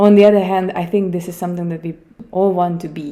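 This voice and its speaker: A woman's fairly low-pitched voice with a Hungarian accent. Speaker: podcast host. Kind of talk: solo podcast talk. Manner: hesitant, many fillers.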